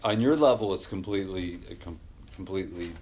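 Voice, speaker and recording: The man's speech is fairly quick and comes out somewhat breathy. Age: 40s. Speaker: podcast host. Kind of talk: casual interview chat. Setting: garage.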